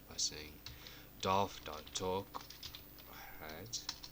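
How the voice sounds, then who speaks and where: A man talks in a very deep, low pitch. Noticeable background noise runs underneath. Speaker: programming tutor. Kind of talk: coding tutorial narration.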